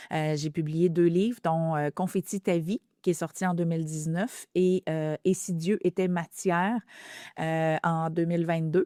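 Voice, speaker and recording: A woman's fairly low, dark and mellow voice with fairly even intonation and a fairly slow pace, on a very clean recording with a silent background and a dry, close sound with no echo. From Quebec. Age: 50s. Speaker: author and speaker. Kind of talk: testimony. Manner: intense.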